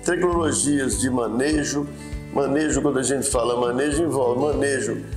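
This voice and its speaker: With clear music in the background, a man speaks at a fairly slow pace with ordinary pitch variation. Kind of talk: interview answer. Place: office. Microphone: lapel.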